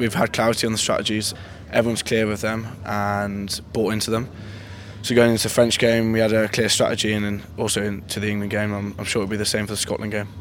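A very fast-talking man with a fairly low pitch and monotone, flat intonation. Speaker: young rugby scrum half. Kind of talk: interview.

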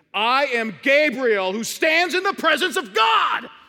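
A high-pitched, put-on character voice shouts. The delivery is fairly slow. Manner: commanding.

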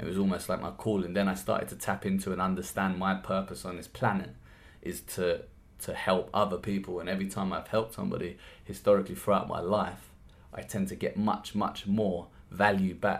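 Speaking at a fairly quick pace, a man with a London accent has a fairly low voice. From South East London, Lewisham. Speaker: podcast host and workshop trainer. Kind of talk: solo podcast monologue. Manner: animated, with frequent repeated words.

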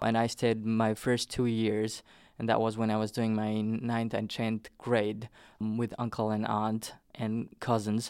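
In a very clean recording with a silent background, a man with a Nepali accent talks at a fairly slow pace in a flat monotone. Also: medium pitch for a man. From Nepal, southern plains. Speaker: immigrant. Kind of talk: oral history interview.

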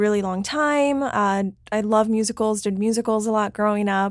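A woman with an American accent and a normal speaking voice talks at a moderate pace with ordinary pitch variation, in a very clean recording with a silent background. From Miami, Florida. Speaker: actress. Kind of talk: casual interview.

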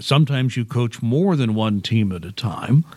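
A man with an unremarkable speaking voice talks fairly slowly at a medium pitch, his pitch varying in an ordinary way. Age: 60s. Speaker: local news blogger and podcast host. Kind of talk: interview. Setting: library AV studio.

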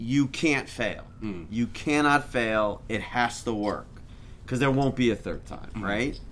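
A man in an American accent with a normal speaking voice, medium pitch, ordinary pitch variation and a fairly slow pace. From Chicago, US Midwest. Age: 50s. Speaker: sports club executive. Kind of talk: casual chat. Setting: outdoors.

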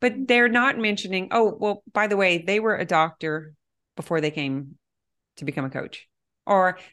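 A woman's plain, everyday voice with lively intonation at a fairly quick pace against a quiet background. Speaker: mind body coach. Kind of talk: interview conversation.

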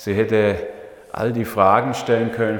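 A man of medium pitch amid audible room echo and noticeable background noise. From Swabia, southern Germany (Leonberg near Stuttgart). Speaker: pastor. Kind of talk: sermon. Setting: church.

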